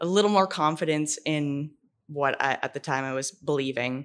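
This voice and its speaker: A woman with a Canadian accent speaks at a fairly slow pace in a very deep, low pitch against a quiet background. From Ontario, Canada. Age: 30s. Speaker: barber. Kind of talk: casual interview. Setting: barbershop, in person.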